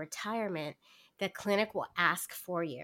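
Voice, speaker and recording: In a very clean recording with a silent background, a woman talks at a moderate pace with a medium pitch, ordinary pitch variation and a bright, sharp tone. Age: 40s. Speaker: podcast guest sharing fertility story. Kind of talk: casual interview.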